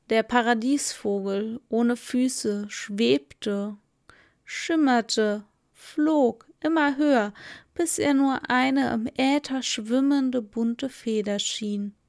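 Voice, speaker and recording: At a very slow pace and with ordinary pitch variation, the voice comes through on a very clean recording with a silent background. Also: woman, high pitch for a woman. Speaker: podcast host and storyteller. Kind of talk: fairy tale narration read aloud in a calm, soothing style. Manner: slow, soft, lulling and dreamy, storybook cadence.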